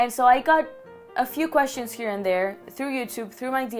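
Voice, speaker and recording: A woman talks at a moderate pace with ordinary pitch variation. Noticeable background noise runs underneath. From Barcelona, Spain. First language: Catalan. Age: 20s. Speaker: YouTuber. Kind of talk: casual vlog talk to camera.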